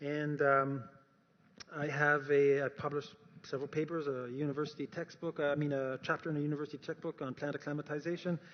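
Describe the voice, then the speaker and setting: A man in a Canadian accent, fairly high in pitch, at a very fast pace. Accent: noticeable Canadian. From Canada. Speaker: speaker on science and faith. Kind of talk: talk to an audience. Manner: animated.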